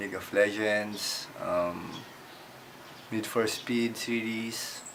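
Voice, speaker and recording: Spoken at a very slow pace with fairly even intonation, the voice carries audible room echo. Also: man. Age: 20s. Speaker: gamer interviewee. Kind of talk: interview answers.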